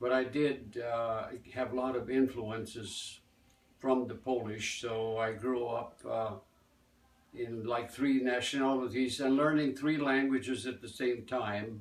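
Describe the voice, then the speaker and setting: Speaking with an American accent, a man keeps a medium pitch and a fairly slow pace in a monotone, flat intonation over noticeable background noise. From US Midwest, Gary, Indiana. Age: 80s+. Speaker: folk dance teacher. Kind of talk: interview. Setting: festival. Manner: halting.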